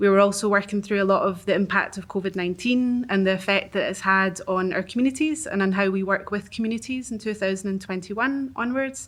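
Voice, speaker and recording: Speaking very fast with hardly any pauses, a woman at medium pitch shows ordinary pitch variation on a very clean recording with a silent background. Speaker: arts organisation worker. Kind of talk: reading aloud. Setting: live event with audience.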